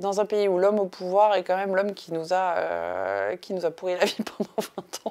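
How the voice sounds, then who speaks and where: The woman's tone is dark and mellow, her pitch medium. She keeps a moderate pace and fairly even intonation. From France. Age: 30s. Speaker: art foundation founder; interviewee. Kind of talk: interview monologue. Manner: hesitant, many fillers. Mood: calm, reflective storytelling. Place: home room.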